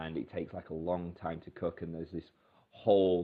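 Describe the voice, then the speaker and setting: In a British accent, a man speaks with a very deep, low pitch and monotone, flat intonation. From Britain. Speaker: English teacher. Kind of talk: tutorial. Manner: hesitant, many fillers.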